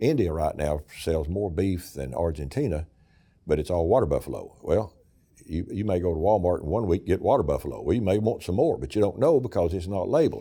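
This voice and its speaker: With an Appalachian accent, a man speaks at a very deep, low pitch in a dark, mellow tone. His pace is fairly quick and his intonation lively, in a very clean recording with a silent background. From East Tennessee. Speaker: state senator. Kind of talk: interview answer.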